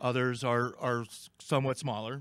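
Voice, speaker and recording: Against a quiet background, a man talks at a fairly slow pace with a dry sound and no echo. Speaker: conference speaker. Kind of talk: lecture. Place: hall. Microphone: podium.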